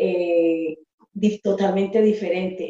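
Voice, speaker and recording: A woman speaks in a monotone with flat intonation. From Colombia, Pereira. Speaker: panel guest. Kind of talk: casual panel chat.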